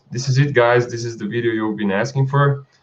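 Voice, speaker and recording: A man with a non-native accent speaks in a somewhat breathy voice. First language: not English. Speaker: stock footage creator and channel host. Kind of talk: live stream chat. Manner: halting, with frequent fillers and restarts.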